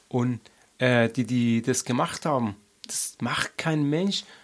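At a fairly slow pace, a man talks with a medium pitch. His pitch variation is ordinary. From Afghanistan. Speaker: activist. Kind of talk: interview. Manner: halting, many fillers.

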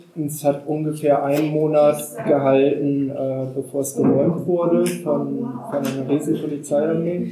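A man's fairly high voice, fairly slow and fairly even in intonation, amid noticeable background noise and audible room echo. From northern Germany (Wendland, Lower Saxony). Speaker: anti-nuclear activist. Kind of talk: public talk.

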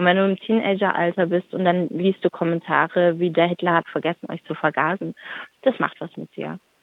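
A woman talks at a fairly quick pace in an ordinary speaking voice. Her pitch sits fairly low, with fairly even intonation. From Stuttgart, Germany. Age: 30s. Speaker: activist. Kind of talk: interview.

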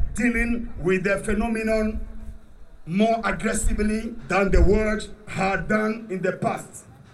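Here a man talks with a high pitch at a fairly slow pace. Audible room echo and noticeable background noise surround him. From Ghana. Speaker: activist speaker. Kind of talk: rally speech.

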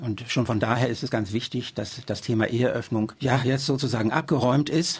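A man speaks with fairly even intonation while noticeable background noise carries on. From Germany. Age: 70s. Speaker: local party politician. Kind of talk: interview. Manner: hesitant with fillers.

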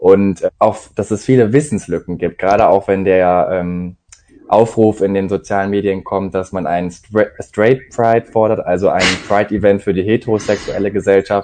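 Moderate pace from a man with a dark, mellow tone, fairly low pitch and fairly even intonation. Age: 20s. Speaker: student. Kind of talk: interview.

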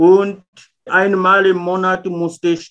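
A man speaks at a very slow pace. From Mozambique. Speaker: former contract worker. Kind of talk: interview testimony. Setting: video call. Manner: halting, with fillers.

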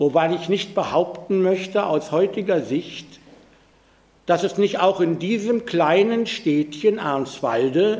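A man's high-pitched voice with lively intonation at a very slow pace. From Pommern, Germany. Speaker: Holocaust survivor. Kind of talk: public talk.

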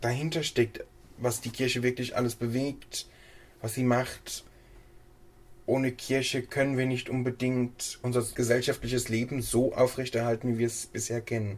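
Somewhat breathy and monotone, with flat intonation, a man speaks at medium pitch and a moderate pace. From Hesse, Germany. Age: 20s. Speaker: church council member. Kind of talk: interview.

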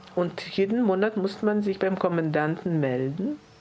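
At a moderate pace, a woman talks in a fairly low pitch with ordinary pitch variation. Noticeable background noise runs underneath. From Lithuania and Tajikistan. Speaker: Holocaust survivor. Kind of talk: testimony. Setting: press conference.

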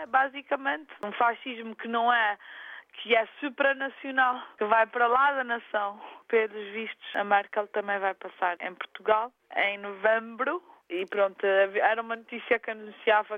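A woman with a normal speaking voice talks at a moderate pace in a fairly high pitch, her pitch varying in an ordinary way while her loudness swings widely. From Azores, São Miguel. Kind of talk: interview.

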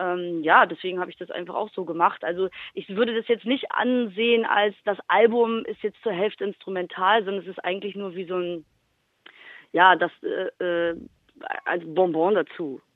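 A woman's normal speaking voice at a medium pitch, with a moderate pace, ordinary pitch variation and big swings in loudness. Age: 30s. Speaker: rapper and music producer. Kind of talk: interview.

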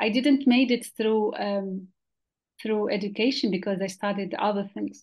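A woman speaks at a moderate pace in a fairly high pitch. Her voice is somewhat breathy, with ordinary pitch variation. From Western Sahara refugee camps. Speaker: journalist and community radio volunteer. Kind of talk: interview. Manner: halting, with repetitions.

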